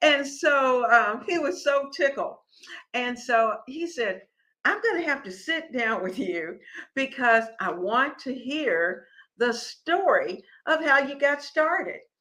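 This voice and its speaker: A raised, projected voice with a bright, sharp tone moves at a very slow pace. Its pitch swings very widely. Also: woman, high pitch for a woman. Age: 70s. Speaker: cooking and lifestyle show host. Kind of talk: casual livestream talk. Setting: live stream. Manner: conversational, repetitive restarts.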